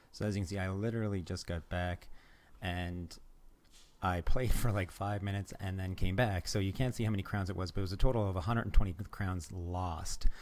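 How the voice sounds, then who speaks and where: Recorded very cleanly against a silent background, a man speaks with a very deep, low pitch and fairly even intonation. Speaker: gaming video creator. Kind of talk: gameplay commentary. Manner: fast; casual, filler-heavy.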